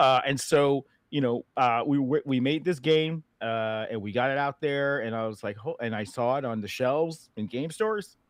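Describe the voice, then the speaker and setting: With an American accent, a man talks at a moderate pace with hardly any pauses, his medium pitch showing ordinary variation. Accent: slight Boston accent slipping in. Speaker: game developer. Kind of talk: casual interview chat.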